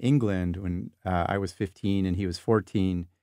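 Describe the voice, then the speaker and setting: Against a quiet background, a man with a Californian accent talks at a fairly slow pace, the sound dry with no echo. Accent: General American, Californian. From Southern California. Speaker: psychology professor. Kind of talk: interview conversation. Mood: reflective, warm, sometimes grieving. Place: home room.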